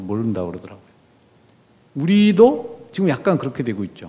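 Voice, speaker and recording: Here a man talks at a fairly quick pace. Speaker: former diplomat, guest lecturer. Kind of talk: lecture. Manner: conversational.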